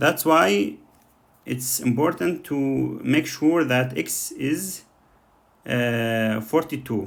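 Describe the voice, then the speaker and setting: With a non-native accent, a man speaks very slowly at medium pitch with lively intonation. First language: not English. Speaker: coding tutor. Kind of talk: tutorial. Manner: halting, many fillers.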